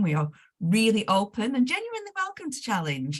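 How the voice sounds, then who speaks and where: A somewhat breathy woman's voice sits at a medium pitch. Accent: Northwest English. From northern England, Lancashire. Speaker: management consultant, webinar host. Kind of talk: webinar introduction. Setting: video call. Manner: relaxed, friendly.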